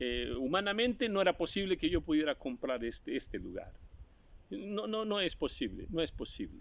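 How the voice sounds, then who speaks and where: A man speaks at a moderate pace. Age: 60s. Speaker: preacher. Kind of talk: sermon.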